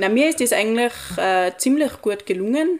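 A woman's voice with ordinary pitch variation. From Austria, Tyrol (Pillersee valley). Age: young. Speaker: recent school graduate. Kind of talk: casual interview chat. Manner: halting, many fillers.

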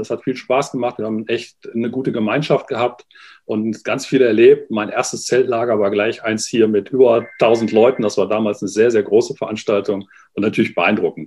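A man speaks fairly quickly at medium pitch. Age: 40s. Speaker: youth fire brigade leader. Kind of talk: interview. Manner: halting, many fillers.

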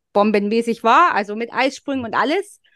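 Recorded dry and close with no echo against a quiet background, a woman speaks at a fairly high pitch with ordinary pitch variation. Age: 30s. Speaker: fertility and cycle coach. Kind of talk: interview. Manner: hesitant, many fillers.

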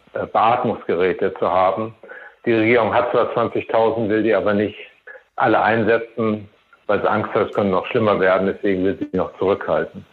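A man is speaking. His pace is moderate. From Germany. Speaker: race volunteer director. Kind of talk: interview. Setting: phone call.

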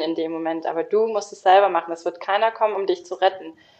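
The intonation holds fairly flat throughout. It is an unremarkable speaking voice. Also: woman. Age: 30s. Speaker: lawyer sharing burnout experience. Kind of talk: interview testimony.

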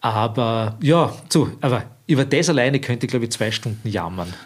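A man speaks in an ordinary speaking voice at medium pitch and a moderate pace, on a very clean recording with a silent background. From Austria, Lower Austria (Weinviertel, Stockerau). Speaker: filmmaker and artist. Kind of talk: interview conversation.

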